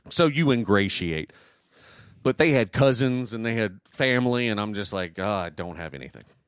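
A man with an American accent talks in a normal speaking voice at medium pitch and a moderate pace. His intonation is lively, and his loudness swings widely. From US South, Southwest Georgia then North Carolina. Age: 40s. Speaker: podcast host. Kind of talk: casual chat.

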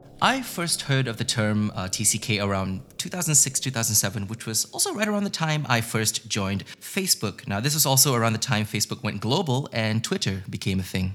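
A man talks at medium pitch and a fairly quick pace, with hardly any pauses. His intonation is lively over noticeable background noise. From Singapore, raised partly overseas. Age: adult. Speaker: podcast host. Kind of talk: scripted solo podcast monologue.

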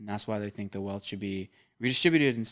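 Over a silent background in a very clean recording, a man with an American accent speaks at a fairly low pitch. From suburban Philadelphia, US. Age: 20s. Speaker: podcast host. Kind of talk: casual banter. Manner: animated, jokey.

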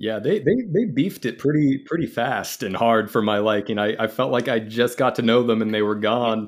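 A man's voice, an ordinary speaking voice at medium pitch, with ordinary pitch variation. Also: moderate pace, hardly any pauses. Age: 20s. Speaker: actor and first-time book reader. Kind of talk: casual chat.

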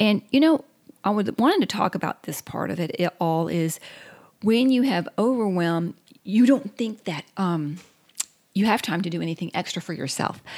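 The speaker uses a Southern US accent, with lively intonation at a moderate pace. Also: woman, medium pitch for a woman. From US South. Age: 50s. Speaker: podcast co-host. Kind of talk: casual chat.

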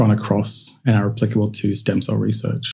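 This man's fairly low voice has vocal fry and a dark, mellow tone. His intonation is monotone and flat, and his pace is moderate. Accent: Australian. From Central Queensland, Australia. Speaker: cultivated meat scientist. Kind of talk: interview.

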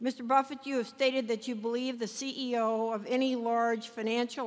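A woman's plain, everyday voice, fairly high in pitch, with fairly even intonation at a fairly slow pace. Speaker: financial journalist on panel. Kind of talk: Q&A questions.

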